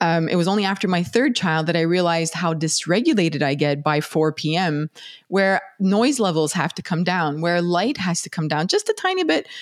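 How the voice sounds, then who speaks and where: With an unremarkable speaking voice, a woman talks at a moderate pace and fairly low pitch, using ordinary pitch variation and hardly any pauses. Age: 40s. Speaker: neuroscientist and podcast host. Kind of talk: casual interview chat.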